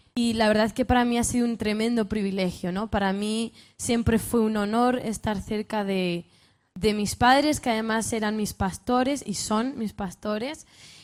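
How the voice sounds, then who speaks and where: With a northern Spanish accent, a woman speaks at a moderate pace with a fairly high pitch and fairly even intonation. The recording is very clean, with a silent background. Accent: northern Spanish, Castilian. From northern Spain. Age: 20s. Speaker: youth speaker, pastors' daughter. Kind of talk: sermon-style talk to youth conference. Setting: stage with audience.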